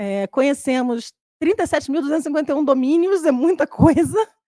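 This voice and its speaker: Lively in intonation and dark and mellow in tone, the voice moves at a fairly quick pace on a very clean recording with a silent background and a dry, close sound with no echo. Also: woman. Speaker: social network instance moderator, panelist. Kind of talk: panel presentation. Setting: conference stage with live audience, streamed. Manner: fast.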